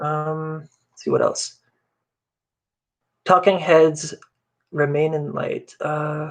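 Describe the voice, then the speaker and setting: With a French Canadian accent, a man talks at a very slow pace. Long, frequent pauses and big swings in loudness mark his delivery. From Canada, Ottawa. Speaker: bass tab creator and live streamer. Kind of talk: casual live stream chat. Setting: live stream.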